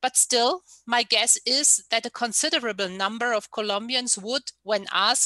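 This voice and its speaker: Against a quiet background, a woman with a fairly high pitch and a bright, sharp tone speaks at a fairly slow pace, with ordinary pitch variation and a dry sound with no echo. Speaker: researcher; panelist. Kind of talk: lecture. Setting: video call.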